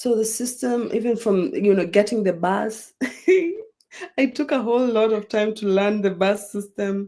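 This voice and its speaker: The speaker has a dark, mellow tone and fairly even intonation, with a Kenyan accent. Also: woman, fairly high pitch for a woman. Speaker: international student. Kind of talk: casual interview. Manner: slow, unhurried; patient, takes her time.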